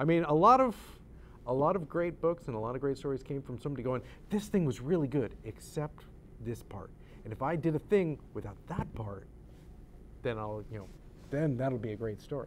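With an American accent, the speaker moves at a fairly quick pace, using lively intonation. Long, frequent pauses break it up, and light background noise runs underneath. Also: man, medium pitch for a man. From upstate New York, near Syracuse; New York. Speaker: author and playwright; guest. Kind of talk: interview. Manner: hesitant, many fillers. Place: studio.

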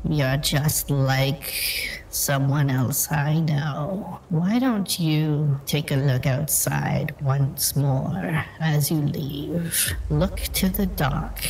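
Over clear background noise, a man speaks in a put-on character voice. His pace is very slow. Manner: calm, knowing, faintly menacing.

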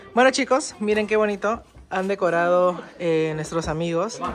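With noticeable background noise behind her, a woman speaks at a moderate pace with ordinary pitch variation. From Peru. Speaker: vlogger and home cook. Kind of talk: casual vlog talk to camera. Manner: animated.

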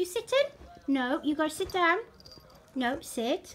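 In a Welsh accent, a woman talks at a fairly slow pace with very wide pitch swings. Light background noise sits behind her. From Wales. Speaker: cat owner. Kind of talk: talking to a pet. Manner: affectionate, coaxing. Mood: affectionate, playful. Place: home room. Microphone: phone near.

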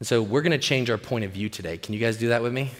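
This man's voice has a bright, sharp tone against a quiet background. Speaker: pastor. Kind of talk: sermon. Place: stage.

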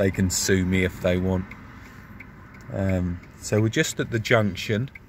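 A man's very deep, low voice at a fairly slow pace, with ordinary pitch variation and very even loudness, dry with no echo over light background noise. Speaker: vlogger. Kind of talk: casual vlog chat. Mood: jokey, good-humoured. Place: car. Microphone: phone near.

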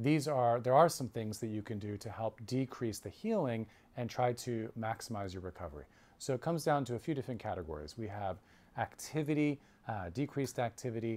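A man talks at a fairly quick pace, his intonation lively. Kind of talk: informational talk to camera. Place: office. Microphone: lapel.

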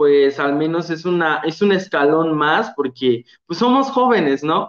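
Against a quiet background with audible room echo, a man speaks at a fairly slow pace with lively intonation. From Guerrero, Mexico. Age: young. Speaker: former award winner, nursing graduate. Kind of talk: testimony. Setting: video call. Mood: warm, enthusiastic. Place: home room. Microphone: video call.

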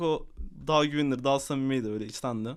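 The speaker is a man with an animated tone. His words come at a very fast pace. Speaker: gaming streamer. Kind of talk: casual live stream chat.

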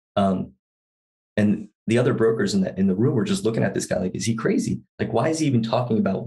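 The voice has a dark, mellow tone with vocal fry. It moves at a very fast pace with lively intonation. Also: man. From US East Coast. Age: 40s. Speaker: sustainable investor. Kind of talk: casual chat. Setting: studio. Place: home room. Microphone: studio mic.

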